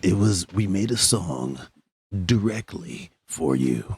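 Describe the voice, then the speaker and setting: The speaker puts on a character voice and moves at a fairly slow pace. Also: man, very deep, low pitch for a man. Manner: dramatic movie trailer.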